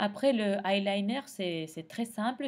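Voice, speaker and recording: Speaking very slowly, a woman uses a medium pitch and lively intonation with a Spanish accent. The recording is very clean, with a silent background. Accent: Spanish accent in French, non-native. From Argentina. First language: Spanish (speaking French). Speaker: makeup tutorial creator. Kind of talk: tutorial. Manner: halting, many hesitations.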